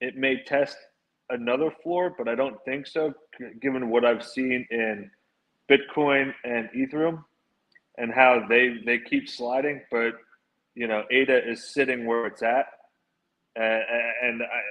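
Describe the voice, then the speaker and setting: A man's medium-pitched voice with a Philadelphia accent, fairly slow with fairly even intonation and long, frequent pauses. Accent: Philly Northeastern. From Philadelphia, US Northeast. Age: 30s. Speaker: NFT project founder. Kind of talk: casual podcast chat.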